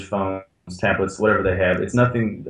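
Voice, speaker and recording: Speaking in a plain, everyday voice, a man keeps a fairly low pitch with ordinary pitch variation. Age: 20s. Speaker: band member. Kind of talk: interview.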